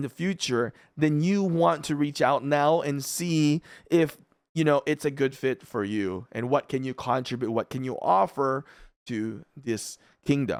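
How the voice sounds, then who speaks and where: A man with a Filipino accent speaks at a fairly high pitch, the sound dry and close with no echo in a very clean recording with a silent background. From Philippines. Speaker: gaming YouTuber. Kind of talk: casual commentary video. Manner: casual, many fillers.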